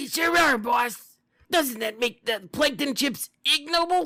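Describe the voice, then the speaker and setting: A raspy put-on character voice, high in pitch, at a fairly slow pace. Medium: read story. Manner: fawning, eager.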